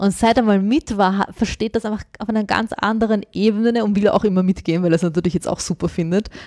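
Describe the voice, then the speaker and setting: A woman's dark, mellow, medium-pitched voice at a very fast pace, hardly any pauses, fairly even intonation, and a dry, close sound with no echo. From born abroad, grew up in Austria. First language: not German (speaking German). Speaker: journalist, former teacher. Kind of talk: interview.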